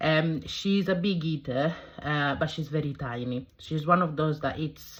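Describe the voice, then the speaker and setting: In an Italian accent, a woman speaks with fairly even intonation in a very deep, low pitch. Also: fairly slow pace. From southern Italy. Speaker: cooking vlogger. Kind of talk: casual vlog introduction. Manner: halting, many fillers.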